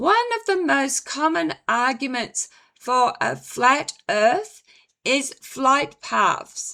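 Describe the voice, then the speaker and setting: A woman speaks in a raised, projected voice, high-pitched and bright and sharp in tone, with very wide pitch swings. Her pace is very slow. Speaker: psychic medium and author. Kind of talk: casual commentary to camera.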